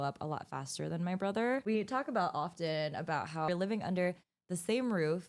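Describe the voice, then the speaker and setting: A woman in a plain, everyday voice with an American accent speaks at a fairly low pitch with lively intonation, on a very clean recording with a silent background. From United States. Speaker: beauty vlogger. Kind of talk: makeup tutorial chat. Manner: casual, chatty.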